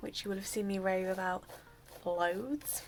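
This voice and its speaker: A woman speaks quietly. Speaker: hair care vlogger. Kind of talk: tutorial.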